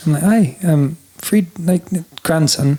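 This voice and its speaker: A man's high-pitched voice with lively intonation and a dark, mellow tone. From Scotland (northern Highlands village). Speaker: singer-songwriter. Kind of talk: casual chat. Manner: animated.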